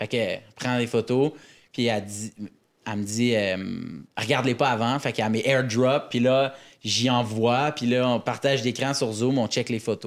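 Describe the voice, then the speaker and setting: In a Quebec accent, a man with a medium pitch talks at a fairly slow pace and fairly even intonation, the recording very clean with a silent background. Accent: Québécois French. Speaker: comedian. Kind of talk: casual chat.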